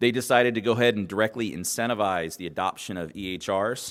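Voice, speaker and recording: A man with an American accent at a fairly quick pace, ordinary pitch variation, and a very clean recording with a silent background. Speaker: government health IT advisor, conference speaker. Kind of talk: conference presentation. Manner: fast.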